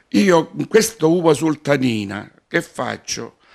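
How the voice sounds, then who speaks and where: Over a quiet background, a man is speaking. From Calabria, Bagnara Calabra; Calabria. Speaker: retired pastry chef and local historian. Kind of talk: interview. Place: home room. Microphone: handheld.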